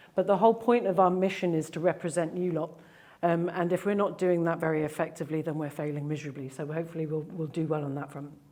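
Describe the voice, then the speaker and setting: With audible room echo around her, a woman speaks very fast in a fairly low voice with fairly even intonation. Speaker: digital agency founder. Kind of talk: presentation talk. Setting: stage with audience. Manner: casual, with fillers.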